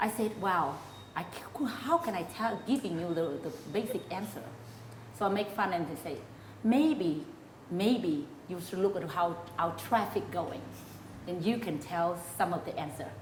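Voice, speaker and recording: A woman speaks at a moderate pace with lively intonation and long, frequent pauses. Audible room echo and noticeable background noise surround her voice. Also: medium pitch for a woman. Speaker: interview host. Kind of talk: interview.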